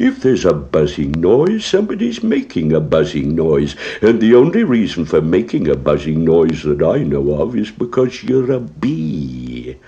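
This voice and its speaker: A man puts on a growling character voice with a very deep, low pitch, talking at a moderate pace with hardly any pauses. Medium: read story. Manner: slow, ponderous.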